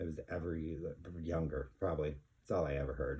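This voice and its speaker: A man's very deep, low voice with vocal fry and fairly even intonation. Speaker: vinyl record collector, channel host. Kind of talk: casual vlog monologue. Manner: halting, many fillers.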